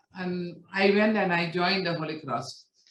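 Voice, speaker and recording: In a room with audible echo, a woman of medium pitch speaks at a fairly slow pace. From India, Kerala. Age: 60s. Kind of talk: testimony. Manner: halting, many fillers.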